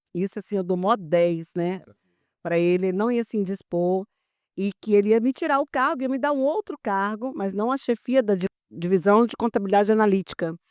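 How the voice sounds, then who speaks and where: Here is an unremarkable speaking voice from a woman, medium in pitch, moderate in pace and lively in intonation. The sound is dry and close with no echo, in a very clean recording with a silent background. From Brazil, Brasília. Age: 60s. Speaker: public accounting expert. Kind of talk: podcast interview.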